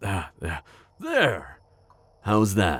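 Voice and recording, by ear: Putting on a character voice, a man talks at a very slow pace with low pitch, very wide pitch swings, a fairly bright tone and a slightly husky edge.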